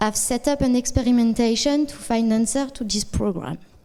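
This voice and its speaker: A woman with a French accent speaks at a fairly high pitch, her tone dark and mellow and her pitch variation ordinary. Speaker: data science consultant. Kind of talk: conference talk. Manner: halting.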